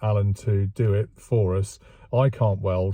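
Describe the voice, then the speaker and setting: Somewhat breathy and dark, mellow in tone, a voice with an English accent comes through a dry sound with no echo and a quiet background. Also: man. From England. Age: 60s. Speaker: classic car restoration vlogger. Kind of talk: casual vlog monologue; casual vlog chat. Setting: outdoors. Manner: hesitant, many fillers. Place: car. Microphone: phone near.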